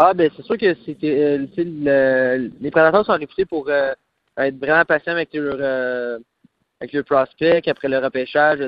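Using an unremarkable speaking voice, a man talks at a fairly slow pace with a fairly high pitch and ordinary pitch variation. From Quebec, Trois-Rivières (Mauricie). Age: 20s. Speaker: professional hockey player. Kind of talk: phone interview. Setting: phone call.

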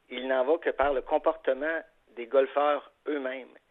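This is an unremarkable speaking voice, a man's, fairly high in pitch. He talks at a fairly slow pace with fairly even intonation. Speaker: golf association executive. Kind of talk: radio interview.

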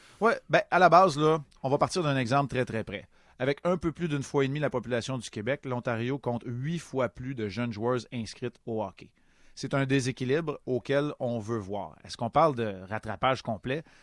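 A man with an ordinary speaking voice talks at a medium pitch and moderate pace, with ordinary pitch variation, in a dry, close sound with no echo against a quiet background. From Quebec, Montreal. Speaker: hockey analyst, committee chair. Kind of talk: radio interview.

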